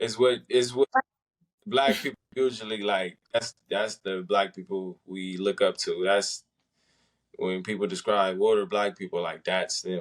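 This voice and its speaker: At a fairly slow pace, a man speaks in a dry, close sound with no echo. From South Central Los Angeles, US. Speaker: podcast guest. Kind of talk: casual interview chat.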